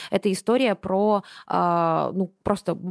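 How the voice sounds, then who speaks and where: Recorded very cleanly against a silent background, a woman at medium pitch speaks with a plain, everyday voice and ordinary pitch variation. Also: dry, close sound with no echo. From Buryatia, Russia. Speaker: anime podcast host. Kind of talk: casual chat.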